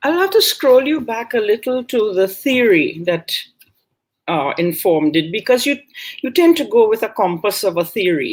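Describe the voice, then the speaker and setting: In a Caribbean accent, a woman with a fairly high voice talks at a moderate pace, her pitch swinging very widely. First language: Caribbean Creole. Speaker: author and linguist. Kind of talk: book talk conversation.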